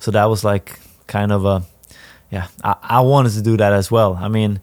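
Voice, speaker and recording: A Swedish accent with a monotone, flat intonation. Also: man. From northern Sweden. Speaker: professional footballer. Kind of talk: interview. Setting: stadium.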